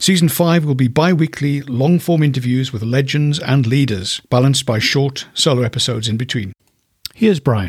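A man speaks with a medium pitch. His voice is somewhat breathy. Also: ordinary pitch variation, moderate pace. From Ireland. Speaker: podcast host. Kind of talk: interview.

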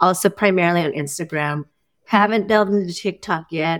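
A woman with an American accent, fairly low pitch, ordinary pitch variation and fairly quick pace, in a very clean recording with a silent background. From US West Coast, East Bay, California. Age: 50s. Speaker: retired professor and farmer. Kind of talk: casual chat.

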